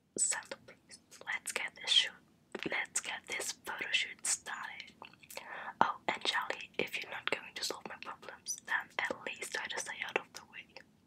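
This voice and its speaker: Over light background noise, a woman whispers at a fairly slow pace, her loudness swinging widely. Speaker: YouTuber. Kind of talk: casual vlog chat and game commentary. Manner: close ASMR whisper reading game lines. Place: home room. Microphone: studio mic.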